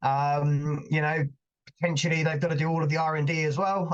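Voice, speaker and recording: A man speaks at a fairly quick pace in a somewhat breathy voice. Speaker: invited speaker on risk management. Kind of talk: webinar presentation. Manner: fast; many fillers and repetitions.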